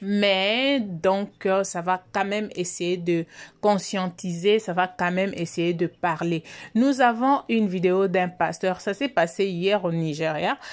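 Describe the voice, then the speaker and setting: The speech comes at a very slow pace. The recording is very clean, with a silent background. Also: woman, medium pitch for a woman, ordinary pitch variation. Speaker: YouTube commentator. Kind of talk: video commentary. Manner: soft-spoken.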